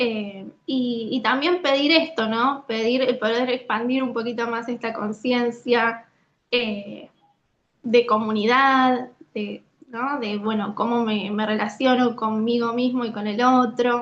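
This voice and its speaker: A woman speaks at a very slow pace in a high pitch. Her intonation stays fairly even. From Lanús, Buenos Aires, Argentina. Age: 20s. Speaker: dancer, actress and occupational therapist. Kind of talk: interview answer.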